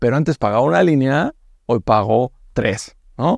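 Recorded very cleanly against a silent background, with a dry, close sound and no echo, a man at medium pitch speaks at a moderate pace with very wide pitch swings. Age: 30s. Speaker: fintech CEO. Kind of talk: interview. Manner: hesitant, with fillers.

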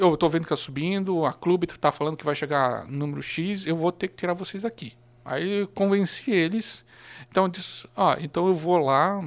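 In a very clean recording with a silent background, a man talks at a high pitch with ordinary pitch variation. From Blumenau, Santa Catarina, southern Brazil. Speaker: local history social media page curator. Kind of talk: casual chat.

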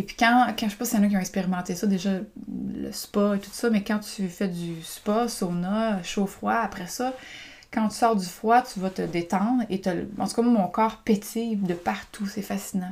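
A woman with a Quebec accent speaks at a fairly slow pace, her medium-pitched voice somewhat breathy and her intonation fairly even. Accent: Québécois French. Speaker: podcaster and women's group coach. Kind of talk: personal storytelling monologue. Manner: casual, hesitant with many fillers.

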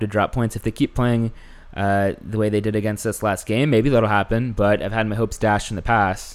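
An ordinary speaking voice with an American accent moves at a fairly quick pace with fairly even intonation in a very clean recording with a silent background. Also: man. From Houston, Texas. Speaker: podcast host. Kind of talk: casual chat.

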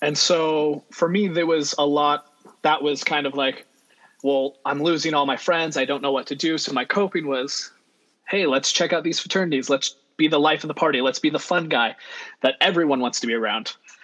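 Here a man with an American accent and a plain, everyday voice talks at a moderate pace, fairly high in pitch with fairly even intonation. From California, Central Valley and Monterey Bay. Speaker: podcast guest, friend of the host. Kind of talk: casual chat.

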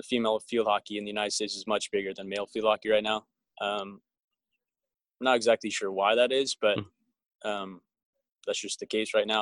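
A man with an American accent speaks fairly quickly at a fairly low pitch, with a monotone, flat intonation. Long pauses come often, and the sound is dry and close with no echo. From Southern California (Agoura Hills, near Los Angeles). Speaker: field hockey player. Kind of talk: interview.

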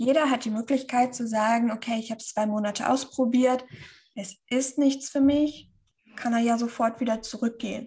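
This woman's pitch is high. She talks at a fairly slow pace. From northern Germany, Schleswig-Holstein. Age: 30s. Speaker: keto nutrition influencer. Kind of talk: interview.

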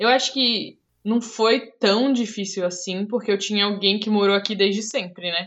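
Her pitch is medium for a woman. She speaks at a fairly slow pace. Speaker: podcast host, front-end developer. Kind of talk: casual chat.

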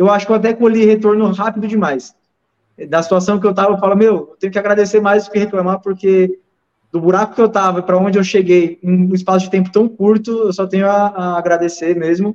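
A high-pitched man speaks very fast in a monotone, flat voice. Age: 20s. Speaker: dental prosthetics technician and lab owner. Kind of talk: casual chat.

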